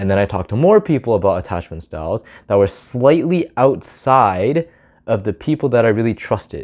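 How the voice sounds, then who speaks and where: A man speaks at a fairly quick pace, his medium pitch swinging very widely. The recording is very clean, with a silent background. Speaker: vlogger giving social advice. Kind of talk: casual talking-head monologue. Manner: fast, sometimes slurred or mumbled; casual, filler-heavy.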